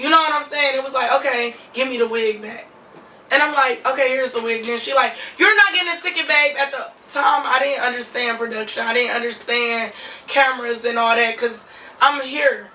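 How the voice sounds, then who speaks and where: A woman at a moderate pace, high in pitch with ordinary pitch variation, over noticeable background noise. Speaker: reality TV cast member and lash artist. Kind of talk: interview.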